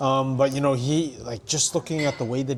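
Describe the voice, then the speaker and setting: There is noticeable background noise as a man talks at a fairly quick pace. His intonation stays fairly even. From Canada. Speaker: ring announcer and hype man. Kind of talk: podcast interview answer. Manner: casual, conversational.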